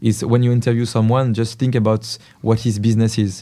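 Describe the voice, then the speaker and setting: A man in a French accent, medium in pitch, with a dark, mellow tone and monotone, flat intonation at a moderate pace, on a very clean recording with a silent background. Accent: French accent, non-native English. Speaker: menswear curator and magazine editor. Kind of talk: interview. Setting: showroom. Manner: halting.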